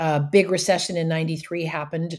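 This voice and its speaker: Speaking with a Canadian accent, a woman uses a normal speaking voice at a fairly low pitch. Her pace is fairly quick and her intonation fairly even. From Canada, rural area outside Ottawa. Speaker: professional speaker and trainer. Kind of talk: interview.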